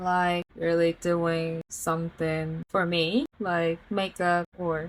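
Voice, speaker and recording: Very slow speech from a woman with a Korean accent. The sound is dry and close, with no echo. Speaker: vlogger. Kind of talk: casual monologue to camera. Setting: at home.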